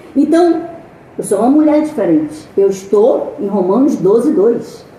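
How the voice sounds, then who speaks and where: A woman's high voice with very wide pitch swings, at a fairly slow pace, with audible room echo and noticeable background noise. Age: 60s. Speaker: missionary preacher. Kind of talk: sermon. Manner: animated.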